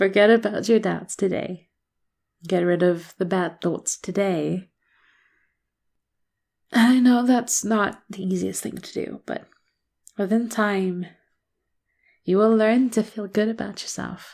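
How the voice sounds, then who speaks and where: A woman with a warm tone speaks very slowly, with fairly even intonation and long, frequent pauses. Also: medium pitch for a woman, big swings in loudness. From South Africa. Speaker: voice actor. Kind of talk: ASMR motivational encouragement audio. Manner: soft-spoken, warm, reassuring.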